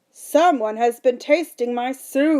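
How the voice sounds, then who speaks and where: The voice belongs to a woman doing a put-on character voice. It sits at a high pitch. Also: fairly slow pace. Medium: read story.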